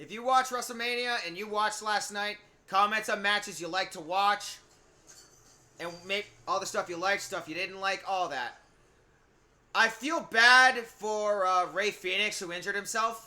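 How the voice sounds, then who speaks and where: A man with a high, bright, sharp voice projects it loudly at a moderate pace, with ordinary pitch variation and big swings in loudness. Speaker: streamer. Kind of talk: live game stream chat. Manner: loud, exuberant.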